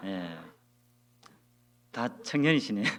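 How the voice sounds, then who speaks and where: A man's lively intonation amid audible echo from the room. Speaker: guest speaker at church youth group. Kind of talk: church talk.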